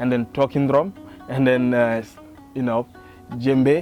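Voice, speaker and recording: Over music in the background, a man talks at a moderate pace and a medium pitch. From Senegal. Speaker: griot musician. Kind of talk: documentary interview answer. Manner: casual, conversational.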